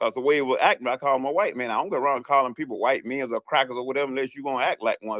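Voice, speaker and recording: With an American accent, a man talks very fast at a medium pitch, the sound dry and close with no echo. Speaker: caller in a live audio chat room. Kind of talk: casual chat. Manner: animated.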